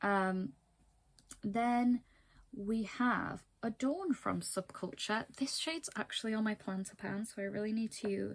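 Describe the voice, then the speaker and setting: A somewhat breathy woman with a fairly high pitch, a fairly slow pace and ordinary pitch variation. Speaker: beauty vlogger. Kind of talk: casual vlog talk to camera.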